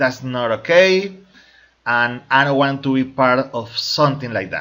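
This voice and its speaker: A man with a Spanish accent speaks at a medium pitch with ordinary pitch variation. His tone is bright and sharp, and his pace fairly slow. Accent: Spanish-speaking accent in English. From Colombia. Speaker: crypto network marketing promoter. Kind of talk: opinion video monologue. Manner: halting, with fillers and repetitions.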